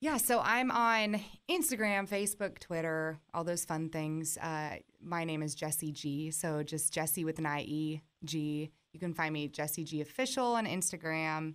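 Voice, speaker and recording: A woman with a very deep, low pitch and ordinary pitch variation is heard in a very clean recording with a silent background. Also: moderate pace. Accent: American. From US West Coast. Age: 20s. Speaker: country musician. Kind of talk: casual chat.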